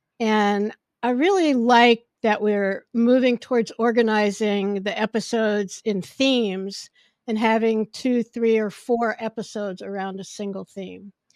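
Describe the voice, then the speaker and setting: At a fairly slow pace, a woman speaks in a fairly high pitch on a very clean recording with a silent background. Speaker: podcast host. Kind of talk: casual chat. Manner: projects loudly when excited.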